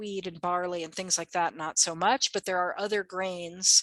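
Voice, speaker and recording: In a quiet background, a woman with an American accent speaks in a fairly low, bright, sharp voice with monotone, flat intonation and a dry, close sound with no echo. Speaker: herbalist. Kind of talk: workshop presentation.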